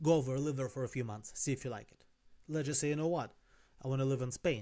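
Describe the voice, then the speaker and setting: Talking very fast with a non-native accent, a man keeps a dark, mellow tone at medium pitch and fairly even intonation. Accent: noticeable foreign. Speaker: life and business coach. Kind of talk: casual talking-head advice video. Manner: conversational, some self-corrections.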